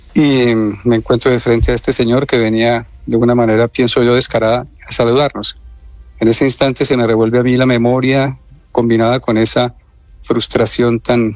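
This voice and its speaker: With music in the background, a man at medium pitch talks at a moderate pace, his intonation monotone and flat and his loudness very even. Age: 60s. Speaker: abuse survivor. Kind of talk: radio interview testimony. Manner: hesitant, with fillers.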